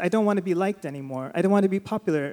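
A man with a Californian accent talks at a very fast pace and a high pitch, with ordinary pitch variation. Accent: Californian American. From California, Sacramento. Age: 40s. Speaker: writer and podcast co-host. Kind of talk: live interview on stage. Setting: theater stage with audience.

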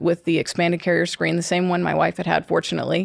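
A woman speaks with an American accent and vocal fry. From US South, Georgia. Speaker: fertility doctor. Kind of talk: casual chat.

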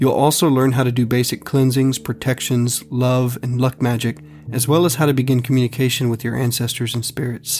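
With music in the background, a man with a medium pitch talks at a fairly quick pace and fairly even intonation. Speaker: podcast host. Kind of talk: scripted narration with ad reads. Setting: Austin, Texas. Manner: formal.

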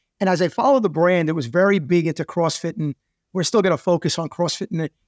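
A man with a New York accent talks at a very fast pace in a high pitch with ordinary pitch variation. The very clean recording sounds dry and close, with no echo and a silent background. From US Northeast, Queens, New York. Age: 50s. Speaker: entrepreneur. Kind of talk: interview.

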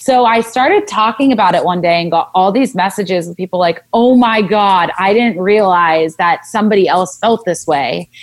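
Speaking at a moderate pace with an American accent, a woman has an unremarkable speaking voice, medium in pitch with ordinary pitch variation. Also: hardly any pauses. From Southern California. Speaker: wellness blogger and speech pathologist. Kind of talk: casual interview chat. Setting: remote recording during quarantine.

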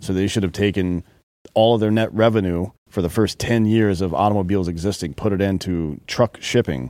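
A man's fairly low, dark, mellow voice with ordinary pitch variation, dry and close with no echo, in a very clean recording with a silent background. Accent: American. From United States. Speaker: podcast co-host. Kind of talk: casual chat. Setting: studio.

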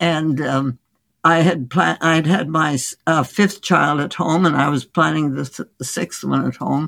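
A woman speaks at a fairly slow pace with a very deep, low pitch and vocal fry. Her intonation stays fairly even. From India. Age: 80s+. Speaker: physician. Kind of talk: interview. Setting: remote call.

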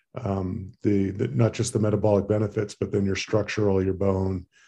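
Somewhat breathy and monotone, with flat intonation, a man speaks at a moderate pace with a fairly low pitch and a dark, mellow tone. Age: 50s. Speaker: emergency physician and cyclist. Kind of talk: casual interview.

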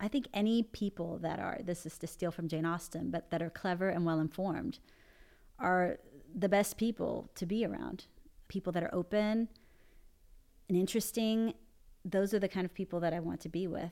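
In a Spanish accent, a woman with a medium pitch, a dark, mellow tone and ordinary pitch variation speaks at a moderate pace with long, frequent pauses, in a very clean recording with a silent background. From Panama and Puerto Rico. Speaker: expat parent and business owner. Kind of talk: casual interview.

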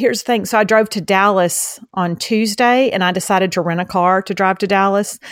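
A woman with a Southeast Texas accent on a very clean recording with a silent background. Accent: Southeast Texas Southern. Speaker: podcast co-host. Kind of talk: casual chat. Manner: fast talker.

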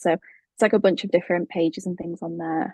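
A woman speaks at a fairly quick pace with a dark, mellow tone, a fairly low pitch and vocal fry. Her pitch varies in an ordinary way, and the sound is dry and close with no echo. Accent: British. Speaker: brand and web designer, studio founder. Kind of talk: casual interview chat. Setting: remote call.

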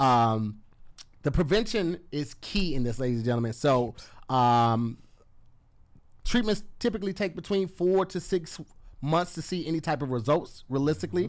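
Animated in tone, a man talks at a fairly high pitch with very wide pitch swings and long, frequent pauses on a very clean recording with a silent background. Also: moderate pace. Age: 30s. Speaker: comedian and podcast co-host. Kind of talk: casual chat.

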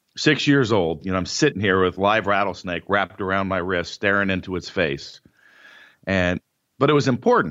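This man talks at a moderate pace in an ordinary speaking voice, his pitch fairly low. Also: ordinary pitch variation. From Northern California. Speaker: powerlifter and entrepreneur. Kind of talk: interview.

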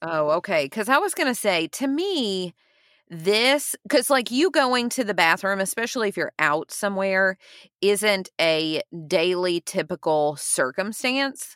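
A woman's medium-pitched voice at a fairly slow pace with very wide pitch swings, in a very clean recording with a silent background and a dry, close sound with no echo. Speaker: podcast co-host and teacher. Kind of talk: casual chat.

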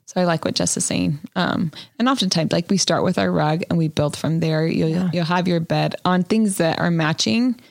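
A woman with an ordinary speaking voice talks at a fairly low pitch and a fairly quick pace. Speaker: interior design podcast co-host. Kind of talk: casual chat.

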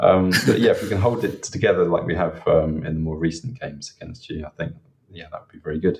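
Loudness swinging widely, a man talks at a very fast pace. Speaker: Southampton fan. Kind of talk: casual chat.

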